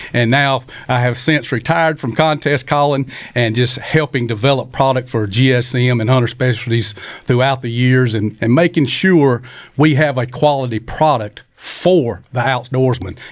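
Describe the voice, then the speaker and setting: This man has a South Carolina accent and a medium-pitched voice. He talks at a moderate pace. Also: ordinary pitch variation. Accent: Southern US (South Carolina). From US South, Union, South Carolina. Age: 60s. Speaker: champion turkey caller. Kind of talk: casual chat. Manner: animated.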